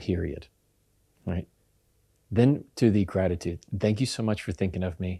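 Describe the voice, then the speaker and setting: The man's voice is fairly low in pitch, with a dark, mellow tone. He sounds calm and keeps a moderate pace. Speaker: communication expert and lawyer. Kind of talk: podcast interview answer.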